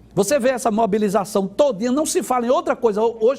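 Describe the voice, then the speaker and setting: The speaker is a man with a high pitch. His voice swings very widely in pitch. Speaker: Bible teacher on TV/radio program. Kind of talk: Bible teaching program.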